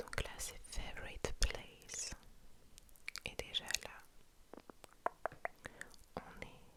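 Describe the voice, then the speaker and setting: Over noticeable background noise, a woman whispers very slowly with long, frequent pauses and big swings in loudness. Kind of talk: ASMR scrolling Pinterest, casual talk to camera. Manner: whispered, soft-spoken.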